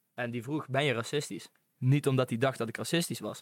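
A man at medium pitch, very fast and fairly even in intonation, on a very clean recording with a silent background. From North Brabant, Netherlands (Venhorst). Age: young. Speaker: podcast guest, student. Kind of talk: casual chat.

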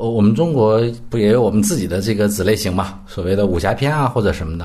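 Very fast, lively speech from a man with a fairly low, dark, mellow, somewhat breathy voice, in audible room echo. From northern Heilongjiang, north of Harbin, China. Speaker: film critic. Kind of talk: casual film discussion.

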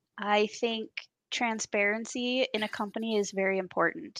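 Against a quiet background, a woman talks at a moderate pace with fairly even intonation in a plain, everyday voice, the sound dry and close with no echo. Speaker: co-host. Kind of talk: casual chat.

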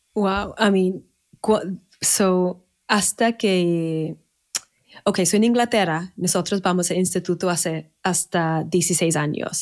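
A woman with an English accent at a medium pitch and a very slow pace, with fairly even intonation and very even loudness. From Manchester, northern England. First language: English (speaking Spanish). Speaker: wedding planner. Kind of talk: casual interview. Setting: remote recording in separate rooms. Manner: halting.

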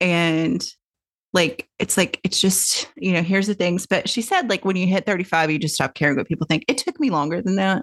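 With an American accent, a woman speaks at a medium pitch and a moderate pace, her intonation lively and her loudness very even. Hers is an ordinary speaking voice, heard in a dry, close sound with no echo. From US South, Tennessee. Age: 50s. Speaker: podcast host, author and publisher. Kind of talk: casual interview chat.

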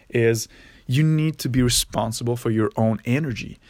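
Speaking with a Quebec accent, a man talks at a moderate pace. His pitch is medium, with ordinary variation. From Quebec, near Montreal. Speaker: podcaster. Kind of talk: solo monologue. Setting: parents' basement. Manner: casual with frequent fillers.

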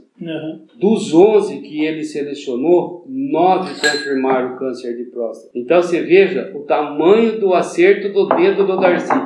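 Amid noticeable background noise and audible room echo, a man speaks at a high pitch with lively intonation, a fairly slow pace and hardly any pauses. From São Paulo interior, Santa Bárbara d'Oeste. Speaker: doctor. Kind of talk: interview.

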